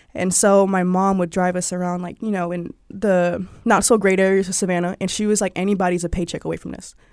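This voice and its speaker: On a very clean recording with a silent background, a woman with an American accent talks at a fairly quick pace in a monotone, flat intonation, hardly pausing. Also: medium pitch for a woman. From US South (Georgia). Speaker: digital marketing manager and former freelance journalist. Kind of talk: casual interview conversation.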